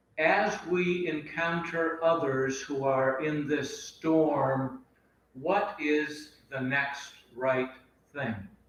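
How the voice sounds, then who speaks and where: Noticeable background noise and audible room echo surround the recording. A man speaks at a very slow pace, his fairly high pitch showing ordinary variation. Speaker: Buddhist teacher. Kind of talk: dharma talk; reading aloud.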